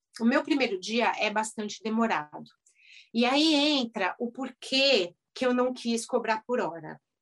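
Using an unremarkable speaking voice, a woman talks at a fairly slow pace, her fairly high pitch showing ordinary variation. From Brazil, São Paulo. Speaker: dentist turned house cleaner and youtuber. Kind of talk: casual interview.

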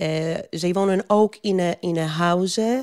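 On a very clean recording with a silent background and a dry, close sound with no echo, a woman with a Polish accent speaks in a fairly low pitch with a dark, mellow tone and fairly even intonation. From Poland. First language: Polish (speaking Dutch). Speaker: migrant worker advocate. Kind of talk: interview. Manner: halting.

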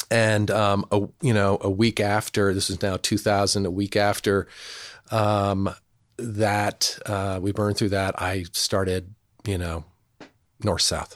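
In a very clean recording with a silent background, a speaker with an American accent talks at a very slow pace with monotone, flat intonation. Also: man, fairly low pitch for a man. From New Jersey, rural area outside New York City. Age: 50s. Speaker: television production company founder. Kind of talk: interview conversation. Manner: halting, many fillers and restarts.

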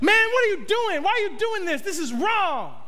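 A man in a put-on character voice at an extremely high pitch and a moderate pace. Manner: attitude-laden, confrontational, sassy.

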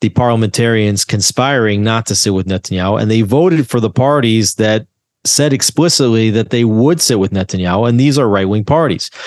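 In a normal speaking voice, a man with an American accent talks at a moderate pace, at a medium pitch with ordinary pitch variation. The background is quiet, and the sound is dry and close with no echo. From US, New Jersey. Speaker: journalist. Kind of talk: interview.

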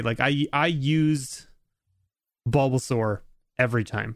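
An unremarkable speaking voice from a man with a Canadian accent, medium pitch and ordinary pitch variation comes through a very clean recording with a silent background. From Canada. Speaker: YouTube creator. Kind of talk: casual chat.

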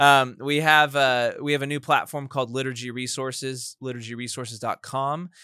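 Recorded very cleanly against a silent background, a man with an American accent speaks at medium pitch and a moderate pace in a bright, sharp, flat monotone with hardly any pauses. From Texas, Sugar Land. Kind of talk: interview. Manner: halting.

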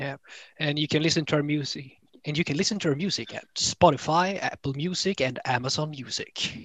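Fairly quick in pace, a man with a Swedish accent speaks at a fairly high pitch. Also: ordinary pitch variation. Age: 20s. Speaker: band member, bassist. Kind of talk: interview conversation.

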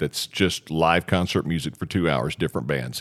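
A man talks at a moderate pace with a very deep, low pitch and vocal fry. The recording is very clean, with a silent background. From Arkansas. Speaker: radio DJ. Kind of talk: casual interview chat. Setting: studio.

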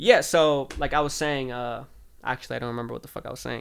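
The man has an American accent and a monotone, flat intonation. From Southern California. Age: 20s. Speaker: podcast co-host. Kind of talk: casual chat.

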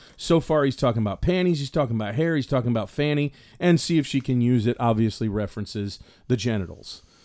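Very fast and in a Southern US accent, a man speaks at medium pitch with lively intonation and a dark, mellow tone, in a very clean recording with a silent background. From US South. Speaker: podcast co-host. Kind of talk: casual chat.

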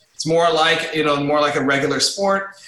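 An American accent with ordinary pitch variation over noticeable background noise. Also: man. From Los Angeles, US. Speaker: amateur sumo wrestler and coach. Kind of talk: recorded interview. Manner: casual, halting with repetitions.

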